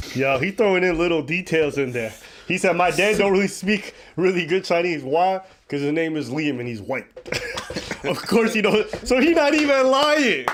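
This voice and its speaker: Over noticeable background noise, a man with a high pitch speaks in an animated tone at a moderate pace, his voice making very wide pitch swings. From Ethiopian heritage. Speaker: reaction commentator. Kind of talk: casual chat.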